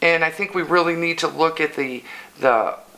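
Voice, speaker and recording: A woman with an American accent speaks at a fairly low pitch over noticeable background noise. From Illinois. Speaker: local council candidate. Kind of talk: interview.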